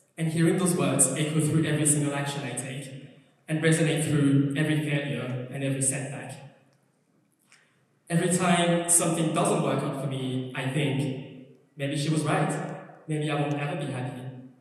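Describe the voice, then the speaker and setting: With monotone, flat intonation and a fairly high pitch, a man speaks at a moderate pace with long, frequent pauses amid audible room echo. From France. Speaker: charity gala speaker. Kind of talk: personal testimony speech. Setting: stage with audience.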